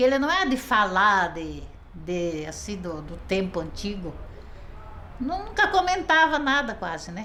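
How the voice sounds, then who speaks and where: A woman's voice with very wide pitch swings at a fairly slow pace, amid audible room echo and noticeable background noise. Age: 70s. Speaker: interviewee, wife of former orphan. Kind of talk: interview.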